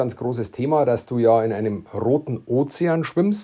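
This man's voice has a dark, mellow tone. He speaks with a Bavarian accent. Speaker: entrepreneur, podcast co-host. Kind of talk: casual chat.

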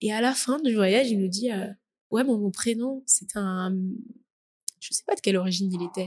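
Somewhat breathy and at medium pitch, a woman speaks at a moderate pace with ordinary pitch variation and long, frequent pauses. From Paris region, France. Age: 20s. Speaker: student. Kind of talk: interview testimony. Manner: hesitant, many fillers.

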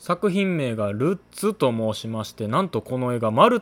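A man at a moderate pace in a dry, close sound with no echo. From Kansai, Japan. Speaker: cinema staff member and podcast host. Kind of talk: solo podcast talk. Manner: polite, formal.

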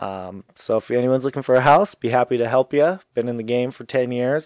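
A man with a plain, everyday voice talks at a fairly quick clip and a medium pitch, recorded dry and close with no echo against a quiet background. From Minnesota. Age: 40s. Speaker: real estate agent and staffing business developer. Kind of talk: casual chat.

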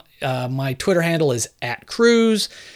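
Very slow in pace yet lively in intonation, a man with an American accent and fairly high pitch is heard on a very clean recording with a silent background. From Southern California and northern New Jersey. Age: 50s. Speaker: podcast host and author. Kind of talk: solo podcast answering listener mail. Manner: casual, conversational.

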